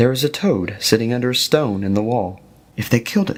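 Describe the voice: The delivery is plain reading aloud.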